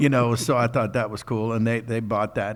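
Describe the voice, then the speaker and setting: Speaking at a moderate pace with an American accent, a man uses a medium pitch and vocal fry. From United States. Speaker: voice actor. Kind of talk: interview answer. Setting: convention stage.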